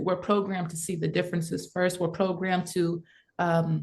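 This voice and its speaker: This woman has an American accent and a medium pitch. Her voice is somewhat breathy. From south Mississippi, USA. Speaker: artist, musician and advocate. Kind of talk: interview answer.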